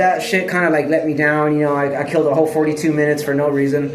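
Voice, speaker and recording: A man is speaking with audible room echo. Noticeable background noise can be heard. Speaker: vlogger. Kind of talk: casual monologue. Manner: fast.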